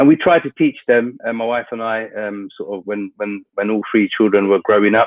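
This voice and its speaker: A man with a London accent talks at a fairly quick pace and medium pitch. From London, England. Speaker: international organisation representative. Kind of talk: webinar talk. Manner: hesitant, many fillers.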